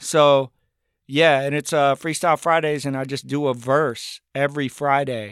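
A man speaks at a medium pitch with an American accent, in a normal speaking voice. His intonation is fairly even, and the recording is very clean, dry and close, with a silent background and no echo. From US South, Appalachia (Buncombe County, North Carolina). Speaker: rapper. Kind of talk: casual chat.

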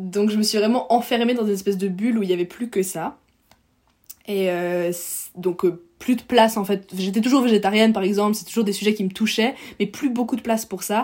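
A woman with an ordinary speaking voice talks at a medium pitch and a fairly quick pace with fairly even intonation, on a very clean recording with a silent background. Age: 20s. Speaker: medical student and climate activist. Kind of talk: casual interview.

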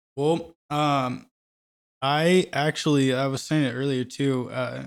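Speaking at a very slow pace, a man with a Midwestern US accent keeps his intonation fairly even. The recording is very clean, with a silent background. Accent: US Midwest. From Kansas City, Missouri (Parkville, north of the river). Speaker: musician. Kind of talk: casual chat.

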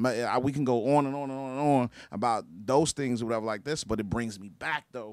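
Fairly quick male speech with an unremarkable speaking voice, medium in pitch and fairly even in intonation. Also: very clean recording, silent background. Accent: American. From Chicago. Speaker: clothing brand owner. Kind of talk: casual chat.

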